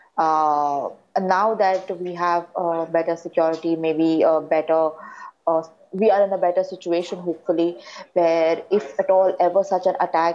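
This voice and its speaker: Monotone, flat intonation in an Indian accent, at a moderate pace over light background noise. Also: woman. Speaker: daughter of slain police officer. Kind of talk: testimony. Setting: remote video link. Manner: halting. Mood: somber, reflective. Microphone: lapel.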